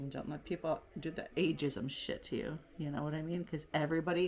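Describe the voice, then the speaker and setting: A woman speaks at a moderate pace. Her very deep, low pitch carries vocal fry. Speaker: beauty vlogger. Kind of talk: casual makeup tutorial chat. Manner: animated.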